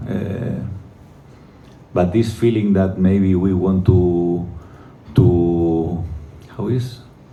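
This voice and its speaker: A man with a non-native accent and a very deep, low pitch speaks at a very slow pace, with fairly even intonation and long, frequent pauses. Noticeable background noise and audible room echo surround him. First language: not English. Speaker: football coach. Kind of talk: press conference. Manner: halting.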